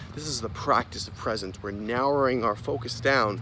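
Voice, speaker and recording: Amid noticeable background noise and audible room echo, a man speaks at medium pitch and a fairly slow pace. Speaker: self-help vlogger. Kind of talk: motivational vlog monologue. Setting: outdoors in public. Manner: repetitive, casual.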